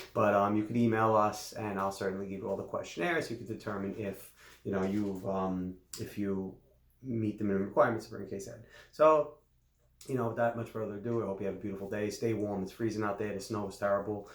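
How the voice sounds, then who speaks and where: Speaking at a very fast pace, a man with a fairly low pitch keeps his intonation fairly even. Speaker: lawyer. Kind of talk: legal explainer video. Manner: casual, conversational.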